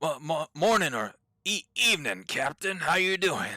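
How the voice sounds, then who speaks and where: This man puts on a character voice that is raspy and high in pitch. The intonation is lively throughout. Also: moderate pace. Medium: actual play. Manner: stammering, hesitant.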